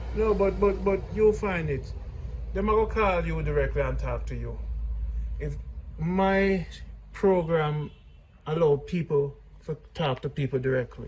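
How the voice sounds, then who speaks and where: Male speaker in a Jamaican accent at a fairly slow pace, with long, frequent pauses. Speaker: vlogger. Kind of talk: casual chat.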